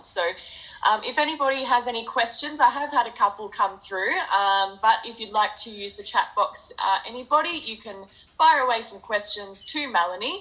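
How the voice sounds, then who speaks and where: A woman with an Australian accent speaks at a moderate pace in a fairly high pitch. Her intonation is lively, and there is noticeable background noise. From Australia, near Geelong, Victoria. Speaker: charity event host. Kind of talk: interview.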